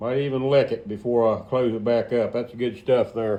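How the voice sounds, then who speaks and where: A man talks at a moderate pace. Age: 60s. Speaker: tractor restorer, garage video maker. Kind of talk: casual workshop tutorial. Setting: garage workshop. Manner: relaxed, folksy with frequent fillers.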